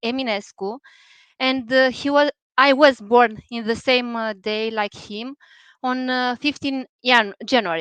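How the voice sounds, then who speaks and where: With a Romanian accent, a woman speaks high and at a fairly slow pace, with fairly even intonation and big swings in loudness, in a dry, close sound with no echo against a quiet background. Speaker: poet. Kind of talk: poetry reading event introduction. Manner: halting, many hesitations. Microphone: unstable internet connection.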